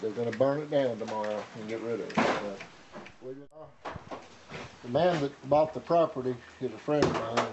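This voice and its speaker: A man with a Tennessee accent, over noticeable background noise. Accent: Southern US (Tennessee). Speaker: junk store owner. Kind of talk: casual chat.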